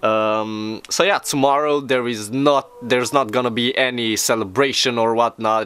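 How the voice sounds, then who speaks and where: A man's medium-pitched voice moves at a moderate pace with fairly even intonation. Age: 20s. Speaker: vlogger. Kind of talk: casual vlog monologue. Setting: outdoors. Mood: low-key, slightly wry. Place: garden. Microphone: camera far.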